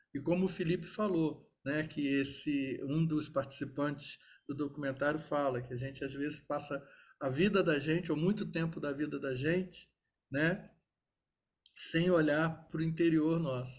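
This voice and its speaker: A man speaks in a fairly high, somewhat breathy voice. His intonation is fairly even and his pace fairly slow. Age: 60s. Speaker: lawyer and event moderator. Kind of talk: panel discussion after a talk.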